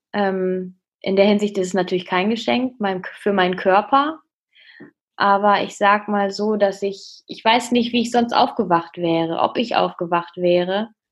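A woman's medium-pitched, ordinary speaking voice, fairly slow, with ordinary pitch variation and a quiet background. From Münsterland, northwestern Germany. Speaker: student and fitness trainer, eating disorder survivor. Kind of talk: interview, personal testimony.

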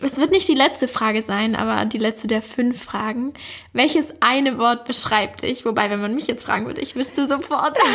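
Over noticeable background noise, a woman with a high pitch speaks at a moderate pace with ordinary pitch variation. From Swabia, Germany (Backnang near Stuttgart). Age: 20s. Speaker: podcast host. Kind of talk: interview.

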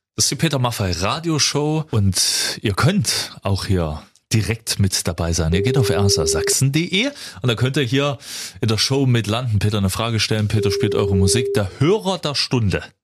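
A man with an unremarkable speaking voice talks at a medium pitch and a moderate pace. His intonation is lively and his loudness very even. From Erzgebirge, Saxony, eastern Germany. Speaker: radio host. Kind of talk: radio show chat. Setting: studio.

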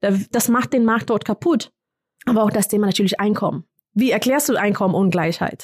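Somewhat breathy and lively in intonation, the voice moves at a moderate pace with very even loudness in a dry, close sound with no echo. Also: woman, fairly high pitch for a woman. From Kenya. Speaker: development worker. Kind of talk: interview. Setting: studio.

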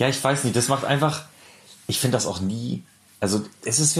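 A man with lively intonation over noticeable background noise. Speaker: podcast co-host. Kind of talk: casual chat.

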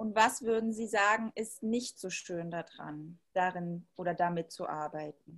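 A woman's unremarkable speaking voice, medium in pitch with ordinary pitch variation, at a fairly slow pace with hardly any pauses. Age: 30s. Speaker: interviewer. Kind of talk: interview. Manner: formal.

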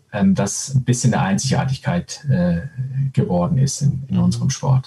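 With lively intonation, a man talks while noticeable background noise carries on behind him. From Switzerland. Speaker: former handball player and coach. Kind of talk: casual interview. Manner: hesitant, many filler sounds.

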